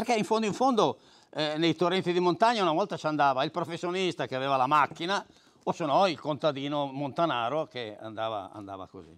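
Against a quiet background, a man talks very fast at a fairly high pitch, swinging widely up and down. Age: 80s+. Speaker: fly fishing veteran; guest. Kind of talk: casual talk to audience. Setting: club evening with audience. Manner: halting, repeats words. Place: meeting room. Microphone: lapel.

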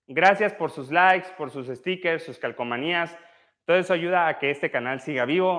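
A man speaks at a moderate pace with fairly high pitch and ordinary pitch variation against a quiet background. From Mexico, Oaxaca (central valleys). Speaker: physiotherapist leading exercise livestreams; physiotherapist streamer. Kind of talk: live exercise class with chat reading. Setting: livestream. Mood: warm, grateful. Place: gym. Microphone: lapel.

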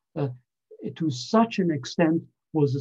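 The voice has a dark, mellow tone and is somewhat breathy. Its pitch variation is ordinary, and the background is quiet. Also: man. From Canada. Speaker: scientist and consultant; invited lecturer. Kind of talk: lecture. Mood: earnest, critical. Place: home room. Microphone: webcam.

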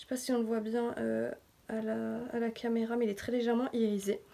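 A woman's high-pitched voice. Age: 20s. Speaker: beauty YouTuber. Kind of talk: casual makeup tutorial talk to camera. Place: home room. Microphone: phone near.

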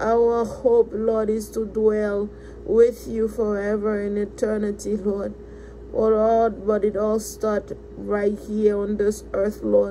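A woman speaks very slowly while noticeable background noise carries on. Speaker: prayer leader. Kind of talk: fervent prayer. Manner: earnest, rhythmic, repeating thanks and praise in a rising devotional cadence.

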